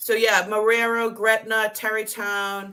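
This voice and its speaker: Speaking very slowly, a woman uses a fairly high pitch and a Boston accent. Her tone is bright and sharp. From Boston area, South Boston. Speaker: reseller guest on live show. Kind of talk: casual chat.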